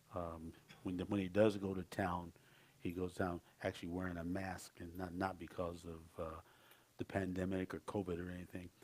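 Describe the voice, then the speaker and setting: A man's very deep, low voice, monotone and flat, at a moderate pace. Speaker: pastor. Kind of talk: sermon announcement. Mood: concerned, earnest. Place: church. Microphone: headset.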